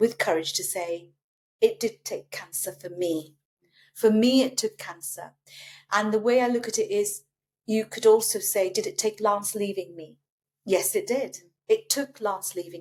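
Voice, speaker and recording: A woman with a British accent, fairly high-pitched, at a fairly slow pace, with ordinary pitch variation and big swings in loudness. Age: 60s. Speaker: breast cancer survivor. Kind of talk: casual chat.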